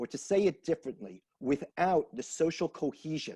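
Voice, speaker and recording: The sound is dry and close, with no echo. A man speaks with lively intonation and a dark, mellow tone. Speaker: institute director, social cohesion specialist. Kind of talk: interview.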